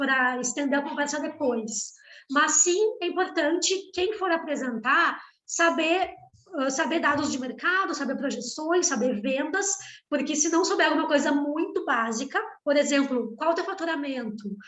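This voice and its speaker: This woman has a high pitch and lively intonation. She keeps a moderate pace. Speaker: startup founder and pitch trainer. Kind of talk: workshop talk.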